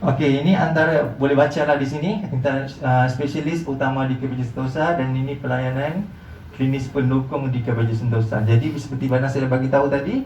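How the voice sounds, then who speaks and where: Speaking with a Malaysian accent, a man talks at a fairly high pitch and fairly quick pace with fairly even intonation, audible room echo, and noticeable background noise. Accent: Malaysian Malay. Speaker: hospital marketing representative. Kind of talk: presentation to visiting group. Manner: halting, frequent fillers.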